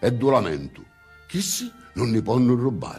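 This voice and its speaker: A man speaks with lively intonation and a Sicilian accent. Music plays in the background. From Sicily. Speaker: poet. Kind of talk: poetry reading.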